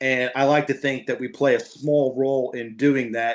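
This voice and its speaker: Moderate speed and fairly even intonation in a plain, everyday voice. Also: man. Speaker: NFL radio play-by-play broadcaster. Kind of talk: podcast interview answer. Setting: podcast conversation.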